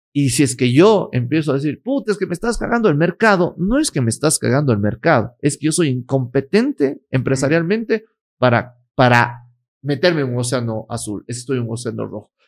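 With lively intonation and a fairly high pitch, a man speaks in an unremarkable speaking voice, in a dry, close sound with no echo. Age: 30s. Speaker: lawyer, influencer and entrepreneur. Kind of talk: casual interview. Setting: his office.

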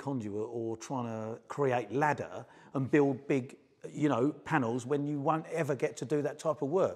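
This man speaks in a normal speaking voice, pitched fairly high, at a moderate pace. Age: 50s. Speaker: electrical trainer. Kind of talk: casual chat.

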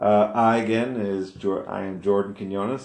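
A man is speaking. His pace is fairly slow. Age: 30s. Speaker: military veteran and engineering student podcaster. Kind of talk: solo podcast monologue. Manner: halting, with many fillers and restarts.

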